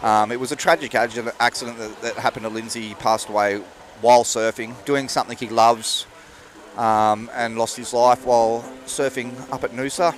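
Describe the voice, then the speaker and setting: A man speaks at a fairly quick pace in a medium pitch, his intonation monotone and flat, with noticeable background noise behind him. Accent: Australian. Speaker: live event commentator and bodyboarder. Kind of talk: live commentary.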